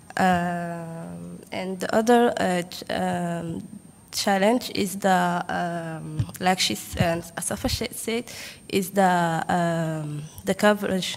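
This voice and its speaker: At a very slow pace, a woman with a French accent speaks in a fairly low voice with ordinary pitch variation. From Djibouti. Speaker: government statistics delegate. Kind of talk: workshop country report. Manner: halting, many fillers.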